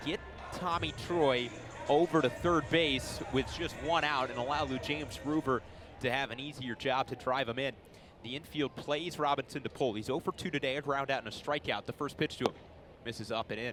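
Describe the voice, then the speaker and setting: Noticeable background noise sits behind a man with a fairly high pitch. He speaks at a fairly quick pace with ordinary pitch variation. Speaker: baseball play-by-play broadcaster. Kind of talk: baseball radio play-by-play call.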